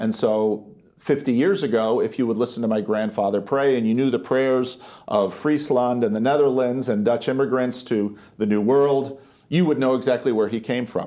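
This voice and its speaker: This man speaks in an American accent at a moderate pace, his pitch medium with ordinary variation. His tone is dark and mellow, and his loudness stays very even. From United States. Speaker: pastor and theologian. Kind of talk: interview conversation. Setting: in-person conversation.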